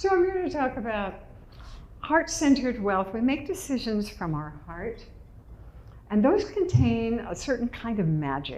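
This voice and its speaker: In an American accent, a woman with vocal fry speaks at a fairly slow pace with long, frequent pauses, her fairly high pitch making very wide swings, all with audible room echo. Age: 80s+. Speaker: public speaker. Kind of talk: inspirational talk. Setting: stage with audience.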